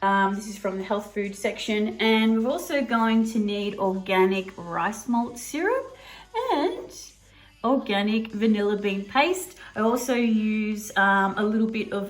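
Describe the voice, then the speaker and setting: A woman with an Australian accent, fairly high in pitch with ordinary variation, at a fairly slow pace amid audible room echo. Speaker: cooking video host. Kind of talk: cooking tutorial. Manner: casual, with frequent fillers.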